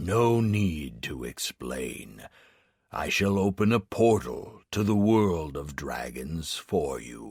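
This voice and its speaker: A man's put-on character voice, very deep and low, at a very slow pace with very wide pitch swings, on a very clean recording with a silent background. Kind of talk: grandiose solemn pronouncement. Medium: read story.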